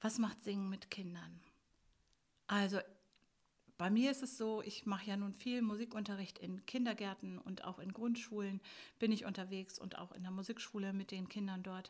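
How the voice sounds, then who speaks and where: Her voice at a medium pitch and somewhat breathy, a woman speaks at a moderate pace with fairly even intonation and long, frequent pauses. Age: 60s. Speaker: music school teacher. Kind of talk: interview.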